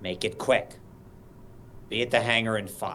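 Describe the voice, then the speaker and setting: A man's gruff, put-on character voice at a medium pitch and moderate pace, over clear background noise. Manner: curt, commanding.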